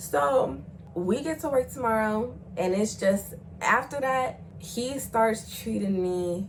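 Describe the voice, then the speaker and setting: A woman speaks in an animated tone. There is audible room echo. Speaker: YouTuber telling personal stories. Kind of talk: storytime monologue. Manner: loud.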